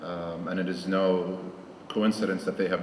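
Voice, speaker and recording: A man speaks with a very deep, low pitch. Audible room echo and noticeable background noise surround him. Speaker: alumni association president. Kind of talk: conference welcome speech. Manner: formal.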